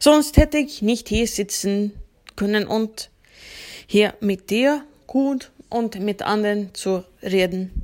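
Speaking at a very slow pace with a Swedish accent, a woman uses a fairly high pitch and ordinary pitch variation. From Sweden, Uppsala. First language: Swedish (speaking German). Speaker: sound engineer. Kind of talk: interview.

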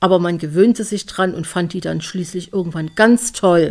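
This woman has a plain, everyday voice, pitched in the medium range with ordinary pitch variation. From Leipzig, eastern Germany. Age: 40s. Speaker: podcast host. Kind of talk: personal monologue.

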